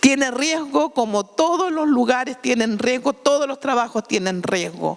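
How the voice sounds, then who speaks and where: A woman with a Chilean accent speaks at a high pitch and a fairly slow pace. Her intonation is lively, and noticeable background noise runs underneath. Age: 60s. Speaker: sex worker union activist. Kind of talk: panel talk. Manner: halting.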